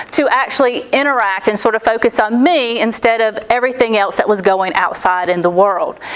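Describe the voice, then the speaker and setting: Over noticeable background noise, a woman speaks at a moderate pace with lively intonation and a fairly high pitch. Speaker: accounting professor. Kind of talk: lecture. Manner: loud.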